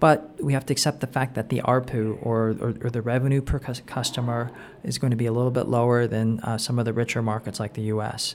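A man with a Californian accent talks at a fairly quick pace with hardly any pauses. His medium-pitched voice stays monotone and flat. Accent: American (Californian). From Southern California (Anaheim). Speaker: startup investor and entrepreneur. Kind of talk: interview. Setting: in person at a coworking space. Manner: frequent fillers and repetitions.

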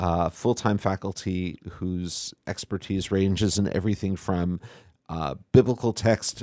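Speaking in a normal speaking voice at a fairly slow pace, a man with a fairly low pitch comes through on a very clean recording with a silent background. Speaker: rabbi. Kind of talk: interview. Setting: studio.

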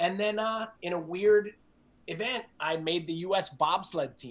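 With a New Jersey accent, a man speaks in an energetic tone at a high pitch, with ordinary pitch variation. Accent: New Jersey American. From US Northeast, New Jersey. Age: 40s. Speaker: fitness coach and entrepreneur. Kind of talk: interview.

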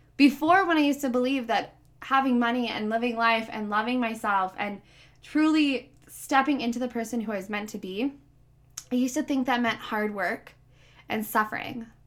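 A loud, animated woman's voice, high in pitch, at a moderate pace with ordinary pitch variation, on a very clean recording with a silent background. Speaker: podcast host and life coach. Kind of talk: solo motivational podcast monologue; sponsor pitch.

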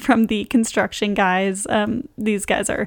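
Soft-spoken, a woman speaks at a fairly high pitch, with a dry, close sound and no echo. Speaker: podcast host. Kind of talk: casual chat.

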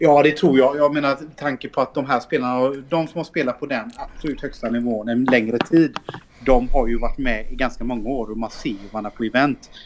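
There is noticeable background noise around a man's voice. He talks fairly quickly at medium pitch with fairly even intonation. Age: 30s. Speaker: esports team CEO. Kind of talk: casual interview.

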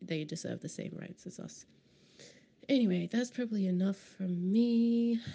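A woman's somewhat breathy, dark and mellow voice at a medium pitch and moderate pace, with ordinary pitch variation and big swings in loudness. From Queensland, Australia. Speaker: podcast host. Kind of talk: casual spoken intro. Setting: immigration office.

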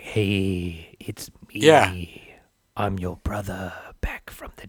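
A man in a put-on character voice talks very slowly in a raspy, fairly low tone. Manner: spooky.

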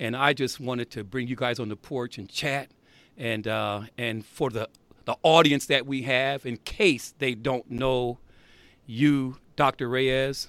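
A man with an American accent has medium pitch and an ordinary speaking voice. He speaks at a fairly slow pace with fairly even intonation, in a dry, close sound with no echo. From South Bend, Indiana. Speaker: podcast host. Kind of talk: casual chat.

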